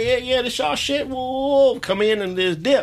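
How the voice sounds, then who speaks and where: A man with an American accent at a fairly quick pace, amid noticeable background noise. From Los Angeles. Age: 30s. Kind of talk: casual chat. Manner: animated.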